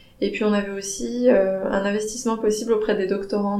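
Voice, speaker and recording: A woman speaks with monotone, flat intonation. Audible room echo and noticeable background noise come through. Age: 30s. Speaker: anthropologist, recent PhD graduate. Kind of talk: interview. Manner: halting, many hesitations.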